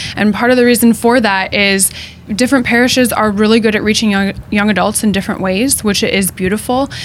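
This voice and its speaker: A woman's fairly high voice over noticeable background noise, fairly quick, with fairly even intonation and very even loudness. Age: young. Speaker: teacher. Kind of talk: panel discussion. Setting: studio.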